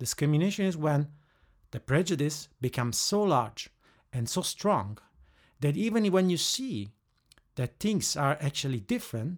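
A man with an Italian accent at a moderate pace, on a very clean recording with a silent background. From Italy. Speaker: head of training operations. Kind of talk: interview. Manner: hesitant, with fillers.

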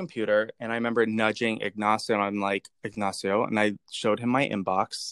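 The man's voice is a plain, everyday voice with an American accent and medium pitch, in a dry, close sound with no echo. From Pennsylvania, later North Carolina. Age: young. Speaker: artist and designer. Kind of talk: interview.

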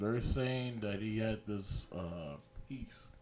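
A man speaks with an American accent. His pitch is fairly low, with ordinary variation. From New York. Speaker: sports podcast co-host. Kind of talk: casual chat.

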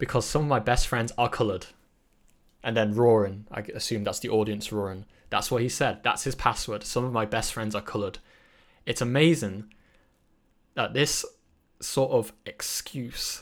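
In a British accent, a man with a medium-pitched voice speaks at a moderate pace with fairly even intonation and long, frequent pauses, on a very clean recording with a silent background. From Britain, British Chinese. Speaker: podcast host. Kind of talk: solo podcast monologue. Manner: halting, many fillers and restarts.

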